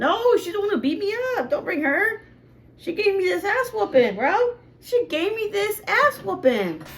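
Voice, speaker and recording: A woman speaks at a moderate pace, her extremely high voice swinging very widely in pitch. Background noise is noticeable. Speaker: reaction youtuber. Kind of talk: reaction commentary. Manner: animated.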